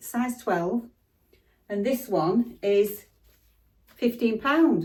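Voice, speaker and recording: Her tone is dark and mellow, and somewhat breathy. The woman's intonation is lively. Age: 60s. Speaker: fashion vlogger. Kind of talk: try-on haul vlog. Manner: chatty, casual with hesitations.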